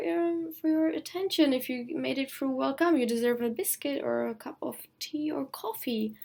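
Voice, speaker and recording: A woman's high voice with a non-native accent, very wide pitch swings and a fairly slow pace. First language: not English (English is third language). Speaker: costume design student vlogger. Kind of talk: video blog explanation. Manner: hesitant, some stuttering.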